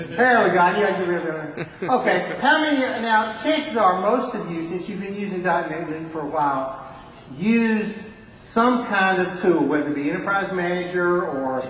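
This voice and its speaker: With a Southern US accent, a man speaks at a high pitch and a fairly slow pace with lively intonation, amid audible room echo and noticeable background noise. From US South, Alabama. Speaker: conference speaker. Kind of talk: technical presentation. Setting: conference room with audience.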